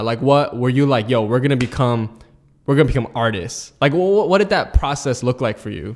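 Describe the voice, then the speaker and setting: A man speaks at a moderate pace in a medium pitch. He has an unremarkable speaking voice. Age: 20s. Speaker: podcast host. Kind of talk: casual interview.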